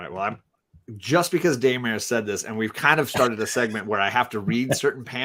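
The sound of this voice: An unforced reading voice carries lively intonation. Nothing much stirs behind it.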